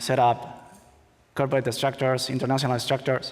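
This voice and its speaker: A man with a Spanish accent speaks at medium pitch in a monotone, flat intonation. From Spain. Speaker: conference speaker, attorney. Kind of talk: conference talk. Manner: halting, many fillers.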